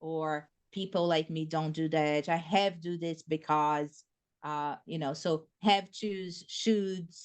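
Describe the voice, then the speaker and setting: A woman with a Brazilian Portuguese accent speaks at a fairly slow pace in a fairly low pitch, her intonation fairly even over a quiet background. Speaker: behavior analyst and presenter. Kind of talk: lecture. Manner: loud.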